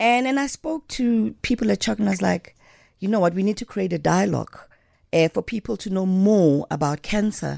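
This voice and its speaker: In a dark, mellow tone and medium pitch, a woman talks at a fairly quick pace with lively intonation. The sound is dry and close with no echo, on a very clean recording with a silent background. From South Africa, Johannesburg (Alexandra township). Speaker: dancer and choreographer. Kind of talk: interview. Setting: radio studio.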